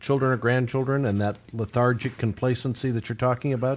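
With fairly even intonation, a man uses an unremarkable speaking voice at a medium pitch. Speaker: radio co-host and announcer. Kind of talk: radio broadcast. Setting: studio.

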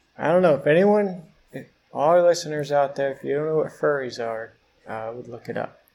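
A man with an American accent uses a normal speaking voice at a fairly high pitch with ordinary pitch variation and a fairly quick pace. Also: big swings in loudness. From Pittsburgh, Pennsylvania. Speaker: podcast co-host. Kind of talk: casual chat, news banter. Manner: joking, dry humor.

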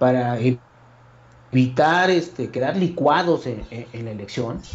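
A man speaks at a fairly slow pace. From State of Mexico. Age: 50s. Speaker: political analyst. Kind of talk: political analysis conversation. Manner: formal.

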